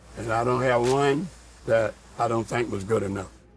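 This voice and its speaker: Audible room echo surrounds a man at medium pitch. He talks fairly slowly with ordinary pitch variation. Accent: American. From US South, Georgia. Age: 70s. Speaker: football superfan. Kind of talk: interview.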